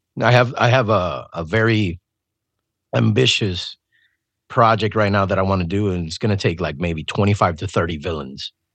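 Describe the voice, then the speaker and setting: Against a quiet background, a man with a fairly low pitch and vocal fry speaks at a moderate pace. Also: ordinary pitch variation. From Puerto Rico. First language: Spanish. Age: 40s. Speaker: musician. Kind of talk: casual chat.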